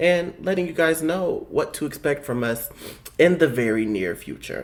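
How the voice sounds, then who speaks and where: Vocal fry marks this man's fairly high voice. He talks at a fairly slow pace with very wide pitch swings. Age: 20s. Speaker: podcast co-host. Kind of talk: casual chat.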